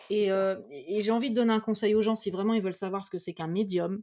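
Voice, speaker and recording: Speaking very fast at a medium pitch, a woman with a dark, mellow tone keeps her intonation fairly even on a very clean recording with a silent background. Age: 40s. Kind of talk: casual chat.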